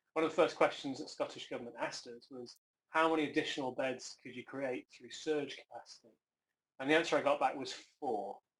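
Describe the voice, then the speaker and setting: In an English accent, a man speaks at a fairly quick pace with fairly even intonation and big swings in loudness. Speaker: health service chief executive. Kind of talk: conference talk. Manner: hesitant, with fillers.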